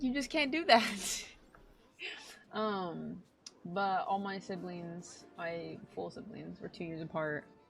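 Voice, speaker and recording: A woman at a medium pitch and very slow pace, lively intonation, big swings in loudness and long, frequent pauses, with music in the background. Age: 20s. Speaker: streamer. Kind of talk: casual chat. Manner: animated.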